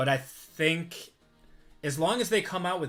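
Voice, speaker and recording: The speaker has a strong Midwestern accent and ordinary pitch variation. Music plays in the background. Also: man. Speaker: sports card breaker, livestream host. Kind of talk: live stream card break commentary with chat. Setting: live stream.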